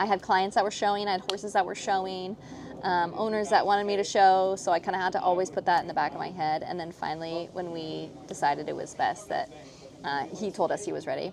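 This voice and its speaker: Speaking at a very fast pace with fairly even intonation, a woman with a medium pitch is heard over noticeable background noise. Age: 30s. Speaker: professional show jumping rider. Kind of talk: casual interview chat. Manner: soft-spoken.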